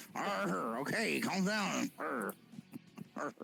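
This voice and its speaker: Over clear background noise, a man at medium pitch does a put-on character voice. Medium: actual play.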